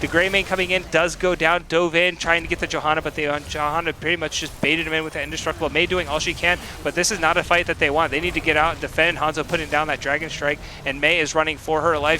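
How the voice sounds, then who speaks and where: Over noticeable background noise, a man speaks at a very fast pace with a fairly high pitch. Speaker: esports caster. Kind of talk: live commentary. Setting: live stream. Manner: animated.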